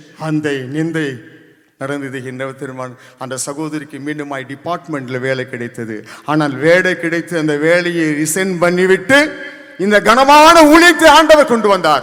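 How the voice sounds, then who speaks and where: A man talks at a fairly high pitch, his loudness swinging widely. Noticeable background noise runs underneath. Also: ordinary pitch variation. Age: 60s. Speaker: church member giving testimony. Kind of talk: testimony. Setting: church convention.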